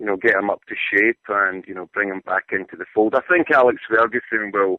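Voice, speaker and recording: At a moderate pace, a man talks in a fairly low pitch. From Scotland, Glasgow. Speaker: soccer journalist. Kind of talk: radio interview. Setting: phone call.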